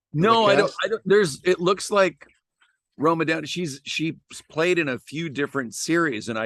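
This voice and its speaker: A man talks at a moderate pace against a quiet background. The sound is dry and close, with no echo. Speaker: podcast host. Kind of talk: casual podcast talk.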